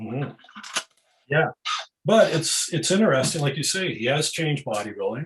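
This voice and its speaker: With lively intonation and a fairly high pitch, a man speaks somewhat breathily at a moderate pace, leaving long, frequent pauses. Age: 60s. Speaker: author and bodybuilding writer. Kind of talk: interview. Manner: halting.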